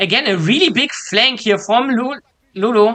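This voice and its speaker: A woman speaks at a moderate pace with a non-native accent. Her pitch varies in an ordinary way. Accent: non-native English accent, noticeable. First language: not English. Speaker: esports co-streamer, caster. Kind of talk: live commentary. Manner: hesitant, many fillers; excited.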